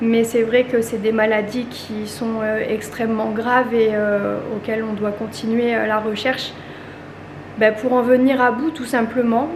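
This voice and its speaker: Noticeable background noise and audible room echo surround a woman who talks at a fairly slow pace with a fairly high pitch and monotone, flat intonation. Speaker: family vlogger. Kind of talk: vlog monologue. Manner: halting.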